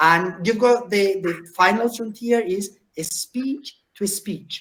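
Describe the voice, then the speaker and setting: Speaking at a very slow pace, a man with a Spanish accent has a high pitch for a man. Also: ordinary pitch variation. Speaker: professor. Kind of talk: lecture. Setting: video call.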